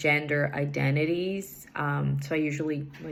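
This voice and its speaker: A woman with a Portuguese accent and a very deep, low pitch speaks at a fairly slow pace amid audible room echo. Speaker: English learner. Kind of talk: recorded assignment answers. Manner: hesitant, many fillers.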